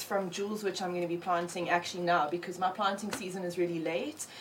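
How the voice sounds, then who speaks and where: A woman at a medium pitch with fairly even intonation, over noticeable background noise. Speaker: cannabis cook and crew member. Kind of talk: casual interview. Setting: studio.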